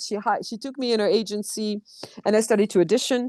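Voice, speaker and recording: Talking at a fairly quick pace, a woman speaks with a slight French accent. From France. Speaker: actress. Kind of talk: interview conversation.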